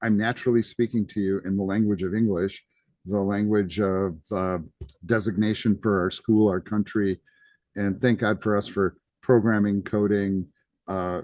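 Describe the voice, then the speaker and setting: A man with an American accent speaks at a fairly low pitch and a moderate pace. His intonation is fairly even, and the background is quiet. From United States. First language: Greek. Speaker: college instructor. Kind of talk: lecture. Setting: live class session. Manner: casual, conversational with fillers.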